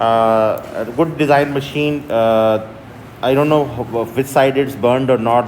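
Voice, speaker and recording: Over noticeable background noise and audible room echo, a man speaks at a medium pitch with a Pakistani accent. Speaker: university lecturer. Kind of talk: lecture. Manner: halting, many fillers.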